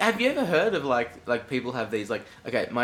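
He has an Australian accent. The voice belongs to a man. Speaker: podcast co-host. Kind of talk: casual chat. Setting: home room with window open. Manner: animated.

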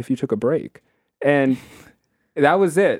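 Here is an ordinary speaking voice: a man with an American accent at a moderate pace. The sound is dry and close, with no echo. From New York City, Queens. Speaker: performance artist and educator. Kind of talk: casual interview.

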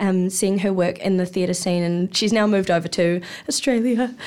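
In a very clean recording with a silent background, a woman with a New Zealand accent talks at a medium pitch with ordinary pitch variation. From New Zealand, Hawke's Bay. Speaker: actor. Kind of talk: casual chat. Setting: studio.

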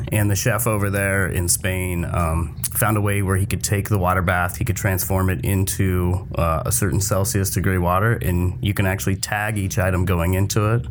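Moderate-paced speech from a man with a fairly low voice, noticeable background noise behind it. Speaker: restaurant group chef. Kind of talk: casual chat.

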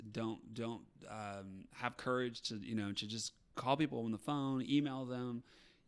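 In a very clean recording with a silent background, a man with an American accent has a normal speaking voice at medium pitch. He talks at a fairly slow pace with fairly even intonation. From Appalachian Ohio. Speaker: touring musical theater actor. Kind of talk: casual interview chat.

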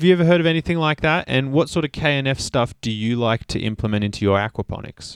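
This man has a medium pitch, an Australian accent and lively intonation, talking at a very fast pace. The sound is dry and close with no echo, in a very clean recording with a silent background. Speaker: podcast host. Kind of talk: casual interview chat. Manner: enthusiastic.

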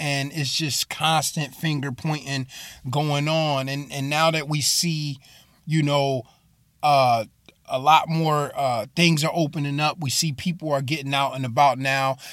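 In a very clean recording with a silent background, a man speaks in a flat monotone at a moderate pace, his pitch fairly high for a man. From Bridgeport, Connecticut. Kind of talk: sermon-style monologue. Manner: casual, with many fillers and repeats.

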